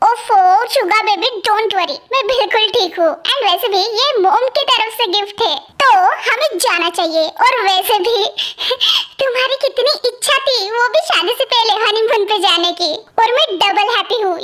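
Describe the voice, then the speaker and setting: A woman uses a put-on character voice at an extremely high pitch. Her pitch variation is ordinary. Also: moderate pace, very even loudness. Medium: fan dub. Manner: soft, sweet.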